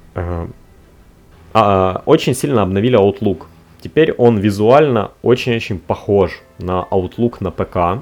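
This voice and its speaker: With music in the background, a man of fairly low pitch speaks very slowly with ordinary pitch variation and long, frequent pauses. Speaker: tech podcast host. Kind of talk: solo podcast monologue. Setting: recorded on a tablet. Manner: casual, with frequent filler sounds.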